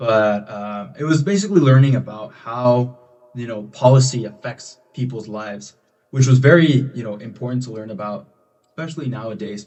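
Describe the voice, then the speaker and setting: A man talks at medium pitch with a Spanish accent. His loudness swings widely. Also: ordinary pitch variation, moderate pace. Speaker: college student leader. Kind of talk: podcast interview.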